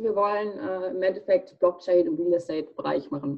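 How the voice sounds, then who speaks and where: Her tone dark and mellow, a woman swings through very wide pitch changes. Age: 20s. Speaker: student and startup founder. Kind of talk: casual interview.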